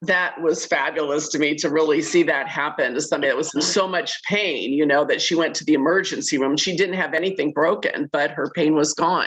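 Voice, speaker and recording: A woman speaks at a very deep, low pitch, with fairly even intonation. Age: 60s. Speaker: caller sharing product testimonial. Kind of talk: testimony.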